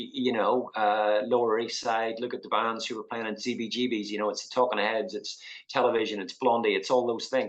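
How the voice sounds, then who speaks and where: A man's medium-pitched voice in a Northern Irish accent, fairly quick and with hardly any pauses, in monotone, flat intonation. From Northern Ireland, Belfast. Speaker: artist. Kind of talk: interview. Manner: hesitant, many fillers.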